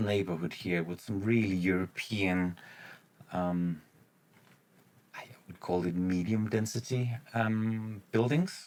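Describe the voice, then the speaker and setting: A man with a non-native accent speaks at a very deep, low pitch. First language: not English. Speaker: gaming YouTuber. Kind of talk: gameplay commentary. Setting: home recording late at night. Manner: halting, many fillers.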